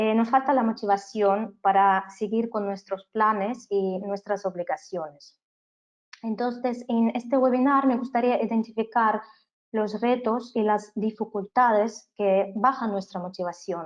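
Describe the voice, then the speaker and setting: A woman speaks at a fairly slow pace with a fairly high pitch and fairly even intonation. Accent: non-native. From Canada. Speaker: business trainer. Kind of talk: webinar lecture. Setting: online webinar.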